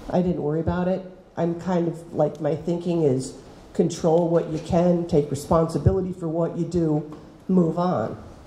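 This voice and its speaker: An American-accented woman with fairly low pitch at a moderate pace, in audible room echo. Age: 60s. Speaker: teacher. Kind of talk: talk to students. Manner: animated.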